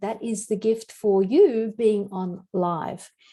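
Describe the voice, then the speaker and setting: A voice with an Australian accent has a dark, mellow tone. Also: woman. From Australia, Sydney beach suburbs. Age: 60s. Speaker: health and wellness teacher. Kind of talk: online class. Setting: video call.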